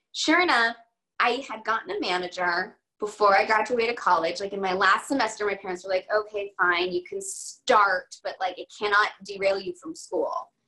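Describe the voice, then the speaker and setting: A woman with an American accent, a plain, everyday voice, medium-pitched, at a moderate pace. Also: lively intonation. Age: 30s. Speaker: actress. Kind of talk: casual interview chat.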